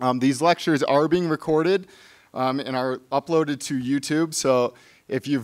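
A man talks at a fairly quick pace. His pitch varies in an ordinary way. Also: quiet background. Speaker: museum staff host introducing speaker. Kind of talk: event announcements and speaker introduction. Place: hall. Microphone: podium.

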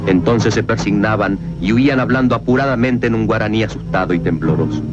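A man talks at a moderate pace, with clear music behind him. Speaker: film narrator. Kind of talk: dramatic film narration. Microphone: old recording.

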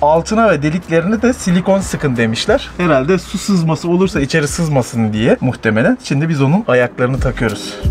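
There is faint music in the background. Over it, a man talks at a fairly quick pace. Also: hardly any pauses. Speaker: van-life vlogger. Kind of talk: casual vlog chat. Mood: cheerful, joking. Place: street. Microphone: phone near.

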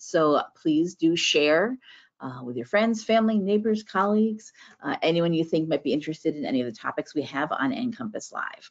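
The speech moves at a moderate pace against a quiet background. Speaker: webinar host. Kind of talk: show introduction. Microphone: video call.

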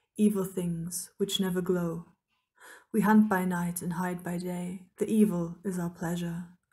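A woman speaks at a fairly slow pace, somewhat breathy, with monotone, flat intonation. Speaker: author. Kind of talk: poetry reading.

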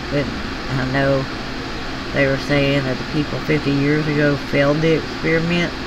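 A woman with a Southern US accent over loud background noise. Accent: Southern US drawl. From US South. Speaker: craft hobby YouTuber. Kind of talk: casual chat. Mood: tender when remembering son. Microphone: phone near.

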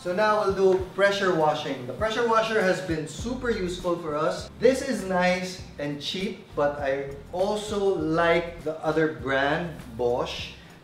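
A man's high voice at a fairly slow pace with ordinary pitch variation, over light background noise and audible room echo. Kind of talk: casual vlog chat. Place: garden.

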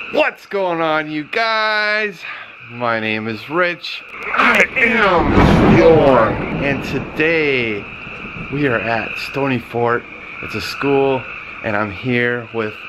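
Loud background noise fills the recording. Over it, a man talks at a very slow pace. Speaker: vlogger host. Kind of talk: casual vlog intro. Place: street. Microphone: phone near.

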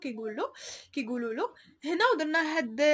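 A woman's high-pitched, raised and projected voice, animated in tone, with lively intonation at a moderate pace. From Morocco. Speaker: online clothing seller and vlogger; online clothing seller, vlogger. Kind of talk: product showcase vlog. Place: shop. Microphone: phone near.

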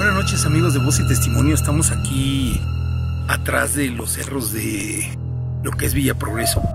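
Loud background noise fills the recording. The sound is dry with no echo, and the speech moves at a moderate pace. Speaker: video host. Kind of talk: outdoor introduction to camera. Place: open country. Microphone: phone near.

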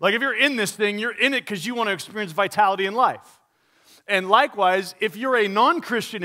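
A man's raised, projected voice with a bright, sharp tone over a quiet background. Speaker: pastor. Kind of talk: sermon. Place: church. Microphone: headset.

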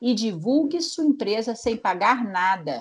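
In a very clean recording with a silent background, a woman talks at a fairly slow pace and a fairly high pitch, with very wide pitch swings. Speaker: press officer. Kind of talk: tips segment, conversational.

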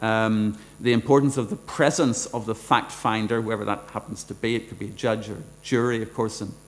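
Man with a Northern Irish accent at a moderate pace. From Northern Ireland. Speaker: law professor; speaker. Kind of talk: lecture. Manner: halting. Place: hall. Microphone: podium.

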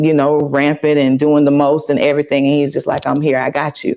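Against a quiet background, a woman speaks with a Southern US accent. Her pitch is very deep and low for a woman. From US South. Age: 40s. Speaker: pastor's wife. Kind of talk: casual interview. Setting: studio. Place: studio. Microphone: lapel.

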